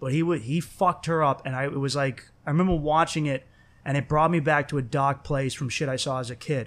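Fairly high pitch and a fairly quick pace from a man with fairly even intonation, on a very clean recording with a silent background. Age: 20s. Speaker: podcast host. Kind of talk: casual chat, profane. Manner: casual, profane, talkative.

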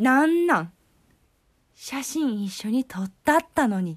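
A somewhat breathy woman with a Kyoto accent and very wide pitch swings, on a very clean recording with a silent background. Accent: Kansai (Kyoto) Japanese. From Kyoto, Japan. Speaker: podcast host. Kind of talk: casual solo talk. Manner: cheerful, chatty.

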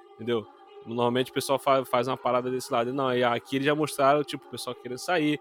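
Noticeable background noise runs under a man talking very fast. His medium pitch stays monotone and flat. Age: 30s. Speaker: podcast co-host. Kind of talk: casual chat.

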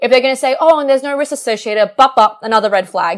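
In an Australian accent, a woman speaks very fast in a high pitch. Her tone is animated and her intonation lively. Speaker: PhD researcher in stem cells. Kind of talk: podcast interview.

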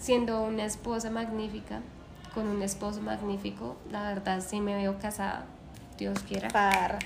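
A woman talks fairly slowly, with audible room echo and noticeable background noise around her. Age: 20s. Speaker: dancer and choreographer. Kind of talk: casual interview chat.

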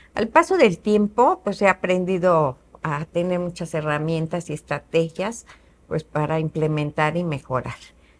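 A woman with a plain, everyday voice, a fairly low pitch, ordinary pitch variation and a fairly slow pace. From Mexico, Querétaro. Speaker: businesswoman. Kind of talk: interview.

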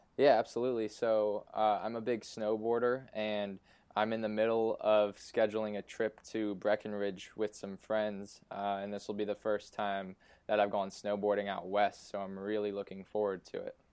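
In an American accent, a man speaks at a moderate pace, fairly low in pitch, with monotone, flat intonation. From eastern Pennsylvania (Easton). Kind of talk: interview. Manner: hesitant, many fillers.

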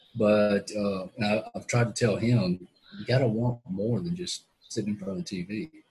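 In a Southern US accent, a man with a fairly low pitch and a dark, mellow, somewhat breathy tone talks at a moderate pace with lively intonation. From Mississippi, US South. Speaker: quadriplegic investment professional. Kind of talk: interview testimony. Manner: halting.

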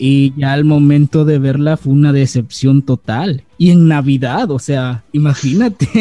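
With hardly any pauses, a man speaks in a Mexican accent at a fairly slow pace, with a fairly high pitch and a dark, mellow tone. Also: fairly even intonation. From Mexico, Acapulco, Guerrero. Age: 20s. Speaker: youtuber. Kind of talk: casual chat.

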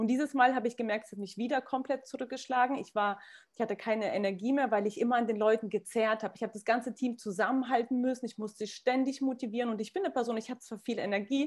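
At a very fast pace, a woman speaks with hardly any pauses. Her fairly high pitch shows ordinary variation. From Kazakhstan. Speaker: businesswoman in network marketing. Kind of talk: casual interview.

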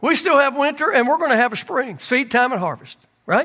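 A man speaks at a moderate pace in a raised, projected voice. His tone is bright and sharp. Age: 60s. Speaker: pastor. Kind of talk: sermon. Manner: animated.

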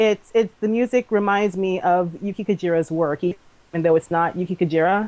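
In a normal speaking voice, a woman talks at a fairly quick pace with an American accent, medium pitch and fairly even intonation, the sound dry and close with no echo. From Maryland, DC area. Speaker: cosplayer. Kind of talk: casual chat.

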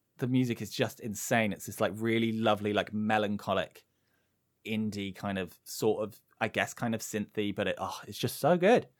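A man speaks at a fairly low pitch and a moderate pace. His intonation stays fairly even. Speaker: video game streamer. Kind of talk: casual chat.

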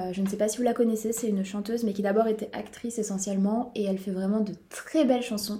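There is noticeable background noise behind this woman. Her voice is fairly high, with fairly even intonation. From southwest France. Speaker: podcast co-host. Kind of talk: casual chat.

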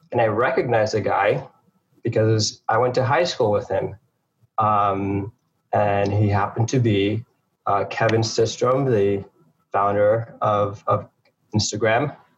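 A somewhat breathy voice in an American accent, at a fairly slow pace with very even loudness and long, frequent pauses. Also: man, medium pitch for a man. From St. Lucia, then Harlem, New York. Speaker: entrepreneur, former trader. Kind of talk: interview. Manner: halting, many fillers.

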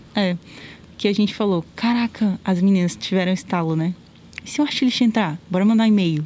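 In an ordinary speaking voice, a woman of medium pitch talks at a fairly quick pace with ordinary pitch variation and very even loudness. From Brasília, Brazil. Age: 20s. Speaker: video creator. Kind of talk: casual interview. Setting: outdoors, masked.

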